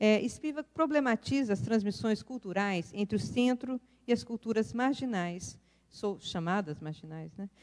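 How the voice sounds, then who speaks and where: A woman talks at a fairly slow pace in an ordinary speaking voice, with lively intonation and a fairly high pitch. The sound is dry and close, with no echo. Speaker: professor, keynote speaker. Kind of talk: academic lecture.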